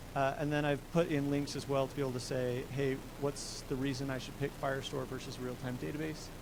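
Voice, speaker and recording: The delivery is fairly quick and monotone, with flat intonation. There are hardly any pauses, and room echo is audible. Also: man, fairly high pitch for a man. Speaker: software developer giving a tech talk. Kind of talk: tech meetup presentation with live demo. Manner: fast; casual with many filler words.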